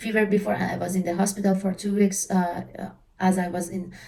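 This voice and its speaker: A woman with an Iranian accent speaks at a medium pitch and moderate pace, somewhat breathy. Her tone is dark and mellow, her intonation monotone and flat. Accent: Iranian (Persian). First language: Persian. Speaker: travel vlogger. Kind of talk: casual tutorial. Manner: halting, frequent fillers.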